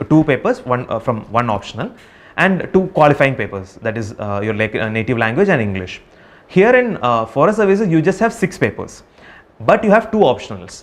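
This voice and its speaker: In a Keralan accent, a man speaks at a fairly quick pace. His fairly high pitch swings very widely. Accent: Indian English, Malayali. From Kerala, India. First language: Malayalam. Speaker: civil service exam topper. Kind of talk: advice talk to exam candidates. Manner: hesitant, many fillers.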